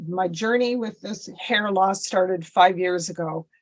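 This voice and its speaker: A woman speaks in a plain, everyday voice with a Canadian accent. Her pitch is medium, her pace moderate, and her pitch variation ordinary. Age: 60s. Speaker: podcast guest with alopecia. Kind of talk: personal story in interview.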